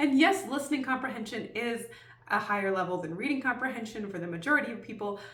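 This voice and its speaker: Speaking at a very fast pace and fairly high pitch, a woman uses lively intonation with big swings in loudness, amid noticeable background noise and audible room echo. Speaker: homeschooling parent and video creator. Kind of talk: tutorial.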